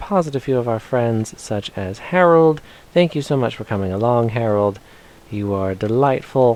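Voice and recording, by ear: Lively intonation carries this reading aloud in a natural voice.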